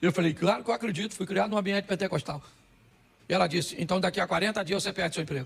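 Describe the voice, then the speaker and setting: A high-pitched man at a very fast pace, with ordinary pitch variation. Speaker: pastor. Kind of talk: sermon.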